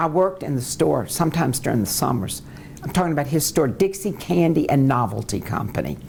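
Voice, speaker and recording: A woman with a very deep, low pitch and an American accent speaks at a very fast pace, with audible room echo and noticeable background noise. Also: lively intonation. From US South, New Orleans, Louisiana. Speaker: lawyer. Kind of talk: oral history interview.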